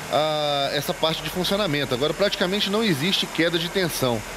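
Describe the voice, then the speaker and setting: Moderately paced, this man's speech has ordinary pitch variation, with noticeable background noise around it. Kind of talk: casual walkthrough commentary. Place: workshop. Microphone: phone near.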